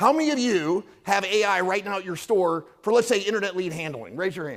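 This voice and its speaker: Loud and fairly quick, a man speaks with a high pitch. His intonation is lively. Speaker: company presenter at industry event. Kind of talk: conference presentation. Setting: stage with audience. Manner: energetic, hyped up.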